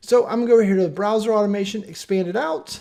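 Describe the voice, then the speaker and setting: A man talks at a very fast pace. His voice is high in pitch with a dark, mellow tone. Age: 40s. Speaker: software tutorial presenter. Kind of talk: tutorial. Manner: casual, conversational.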